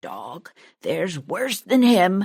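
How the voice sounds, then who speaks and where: A woman puts on a character voice. It comes out gruff. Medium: read story. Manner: gruff, barking.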